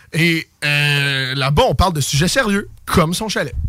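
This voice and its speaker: A man is speaking. His intonation is lively. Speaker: radio host. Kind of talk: casual chat. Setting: radio studio.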